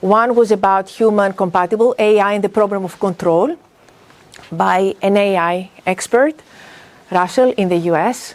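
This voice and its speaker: A woman speaks with a Greek accent. Her pitch sits in the medium range. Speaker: business school professor. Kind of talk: workshop talk. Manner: animated.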